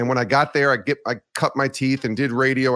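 Speaking at a fairly quick pace, a normal speaking voice with an American accent comes through a very clean recording with a silent background. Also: man. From US Northeast, Albany area of New York. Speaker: sports broadcaster and podcaster. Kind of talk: interview.

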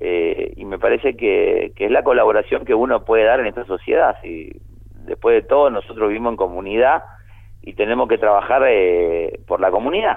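The speaker keeps a moderate pace. The loudness swings widely. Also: man. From Argentina, provinces. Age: 50s. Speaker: painter. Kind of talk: interview.

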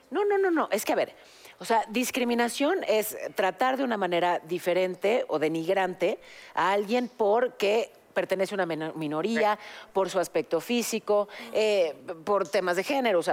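With an unremarkable speaking voice, a woman talks at a moderate pace and medium pitch, her intonation lively, on a very clean recording with no background sound. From Mexico. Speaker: podcast co-host, news journalist. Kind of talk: casual chat.

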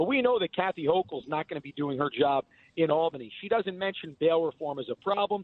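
Talking at a fairly quick pace, a man with an American accent uses a high pitch. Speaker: political candidate. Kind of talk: interview. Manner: energetic.

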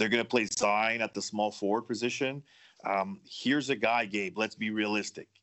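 A man with a normal speaking voice, fairly low in pitch, at a moderate pace with fairly even intonation. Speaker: sports betting analyst. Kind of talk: casual chat.

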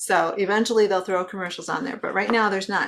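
A woman with an American accent has an unremarkable speaking voice at medium pitch, with fairly even intonation. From Wisconsin. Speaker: mental health therapist and children's author. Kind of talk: interview.

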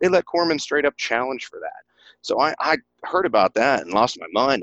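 A man speaks with an Appalachian accent. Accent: Southern US (Appalachian), noticeable. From East Tennessee. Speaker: flight nurse and author. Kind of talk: casual interview chat. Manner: enthusiastic, animated.

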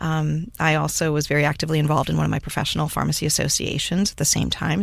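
A woman with an American accent speaks at a very fast pace in a very deep, low pitch. The recording is very clean, with a silent background. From US Midwest (Cleveland, Ohio area). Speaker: pharmacist and author. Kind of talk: interview.

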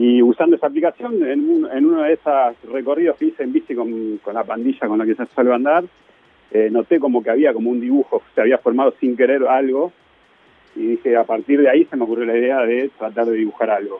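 Speaking in a normal speaking voice, a man talks at a fairly quick pace with a medium pitch and ordinary pitch variation. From Argentina, Mar del Plata. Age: 40s. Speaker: artist. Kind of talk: casual radio interview.

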